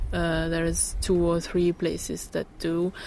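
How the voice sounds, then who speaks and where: A woman talks at a very slow pace. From Italy, Tuscany. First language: Italian (speaking German). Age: 30s. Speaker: pastry chef and blogger. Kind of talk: interview.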